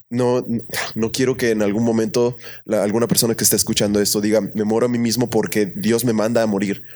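Over a very clean recording with a silent background, a man talks at a very fast pace with medium pitch, fairly even intonation and very even loudness. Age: 20s. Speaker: worship team member. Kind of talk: casual chat.

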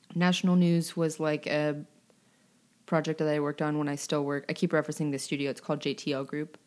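A woman with an American accent, very deep and low in pitch, flat and monotone at a very fast pace, on a very clean recording with a silent background. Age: 20s. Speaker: singer-songwriter. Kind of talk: casual interview.

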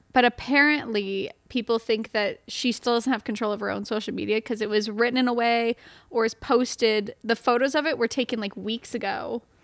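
A plain, everyday voice with an American accent moves at a fairly quick pace with fairly even intonation, in a very clean recording with a silent background and a dry, close sound with no echo. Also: woman, fairly high pitch for a woman. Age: 20s. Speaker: podcast co-host. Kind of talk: storytelling; casual chat.

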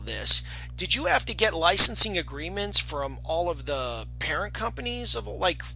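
Male speech at a moderate tempo over background music. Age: 40s. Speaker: podcast host. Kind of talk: casual interview.

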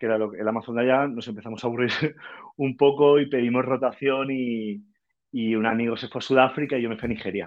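A man is speaking at a fairly quick pace. His intonation stays fairly even. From Valencia, Spain. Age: 30s. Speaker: startup founder. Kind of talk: interview. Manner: halting, many repeated words.

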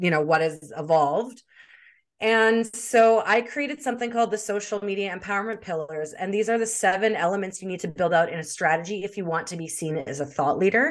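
With a Canadian accent and a normal speaking voice, a woman talks at a fairly quick pace and medium pitch, with ordinary pitch variation over a quiet background. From Canada, Winnipeg. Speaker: social media marketing expert. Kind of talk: interview.

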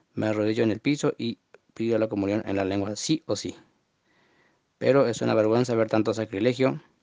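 Over a quiet background, a man speaks with fairly even intonation and long, frequent pauses, the sound dry and close with no echo. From Argentina, Formosa. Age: 20s. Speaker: listener sending audio message. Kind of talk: recorded monologue testimony. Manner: halting, many fillers and repetitions.

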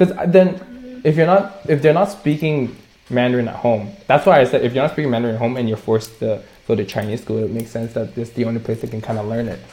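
Very fast and full of lively intonation, the speech comes through over noticeable background noise. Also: man, medium pitch for a man. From Canada. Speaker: podcast co-host. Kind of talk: casual chat.

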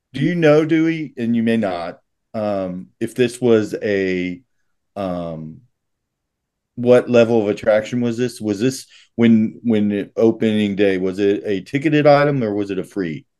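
Against a quiet background, a man with a dark, mellow tone speaks at medium pitch and a fairly slow pace, with ordinary pitch variation. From Tennessee. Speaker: podcast co-host. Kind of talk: casual chat.

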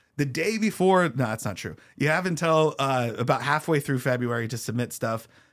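On a very clean recording with a silent background, a man with an unremarkable speaking voice talks at a fairly quick pace with lively intonation. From US Pacific Northwest, Spokane. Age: 30s. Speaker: comedian. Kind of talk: casual interview.

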